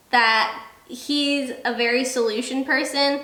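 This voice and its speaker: Noticeable background noise and audible room echo surround the speech. A woman talks with a fairly high pitch. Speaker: military spouse, video creator. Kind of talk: casual chat. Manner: loud.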